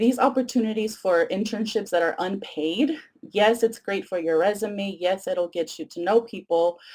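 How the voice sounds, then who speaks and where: A woman speaks at a medium pitch with a Spanish accent and lively intonation. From Mexico (Tijuana), moved to San Diego at ten. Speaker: education professor. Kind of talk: lecture. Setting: webcast.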